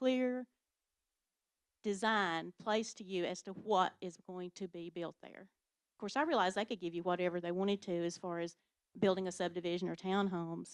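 A woman with an East Tennessee accent speaks at medium pitch and a moderate pace, with ordinary pitch variation, a dry, close sound with no echo and a quiet background. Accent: Southern US (East Tennessee). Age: 60s. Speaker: local resident. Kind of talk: public comment at county meeting. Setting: county commission meeting.

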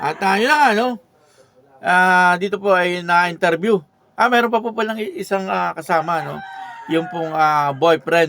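A man talks with a high-pitched voice. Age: old. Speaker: YouTube reaction vlogger. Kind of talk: video reaction commentary. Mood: chatty, gossipy. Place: home room.

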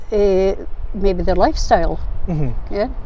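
This is a woman's voice. She speaks with a northeastern Scottish accent. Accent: Scottish, north-east. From Aberdeenshire, Scotland. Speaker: arts and crafts maker. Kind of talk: interview answer. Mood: reflective, calm storytelling. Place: waterside.

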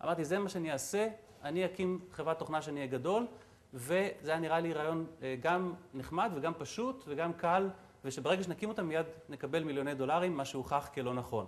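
A fairly quick pace with ordinary pitch variation. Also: man, fairly high pitch for a man. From Israel. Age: 40s. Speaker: entrepreneur and guest lecturer; guest lecturer. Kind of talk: lecture. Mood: reflective storytelling. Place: hall. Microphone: lapel.

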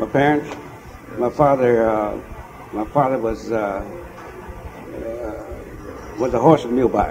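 There is noticeable background noise as a man speaks with an American accent. His pace is fairly slow, his intonation fairly even, and he takes long, frequent pauses. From Kansas, USA. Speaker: war veteran. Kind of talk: interview answer. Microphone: old recording.

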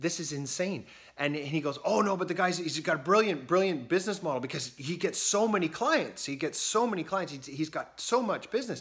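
Against a quiet background, a man talks at a fairly quick pace with lively intonation and hardly any pauses. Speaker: business coach for accountants. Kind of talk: casual vlog chat. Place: home room. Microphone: phone near.

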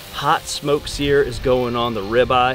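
A man talks with ordinary pitch variation over music in the background. The sound is dry, with no echo. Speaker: cooking show host. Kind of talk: cooking tutorial. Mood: upbeat, joking. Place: garden.

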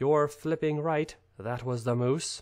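A man performs in a put-on character voice. His pitch sits fairly high. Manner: growling.

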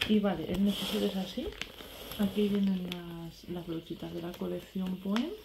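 There is noticeable background noise behind this recording. A woman speaks at a moderate pace with ordinary pitch variation. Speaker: beauty vlogger. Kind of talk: casual vlog chat. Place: home room. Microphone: phone near.

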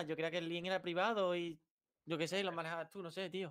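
A man's high pitch, monotone and flat, at a fairly quick pace over a quiet background. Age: 20s. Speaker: youtuber; streamer in debate. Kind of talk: heated debate; heated debate talk. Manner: halting. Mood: argumentative, defensive. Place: home room.

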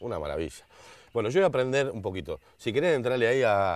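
A man talks at a very fast pace with vocal fry and lively intonation, the sound dry with no echo. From Argentina. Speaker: show host. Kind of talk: casual chat. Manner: animated. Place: garden.

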